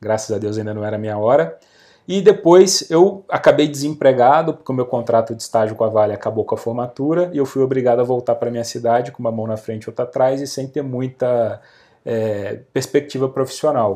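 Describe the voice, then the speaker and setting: A man talks in a normal speaking voice at a medium pitch and a fairly quick pace. His loudness swings a lot. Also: ordinary pitch variation. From interior of Rio de Janeiro state, Brazil. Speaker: real estate marketing expert and author. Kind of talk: podcast interview.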